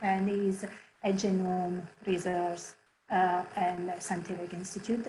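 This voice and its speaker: Noticeable background noise runs through the clip. A woman speaks with an Italian accent. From Italy, Barletta on the Adriatic coast. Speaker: head of HR. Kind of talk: presentation. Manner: animated.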